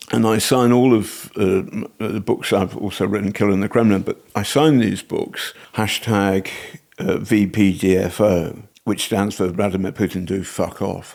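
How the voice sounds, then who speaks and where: Fairly low in pitch, a man talks with an English accent and fairly even intonation. He keeps a moderate pace. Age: 60s. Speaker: investigative journalist and author. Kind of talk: casual chat. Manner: halting.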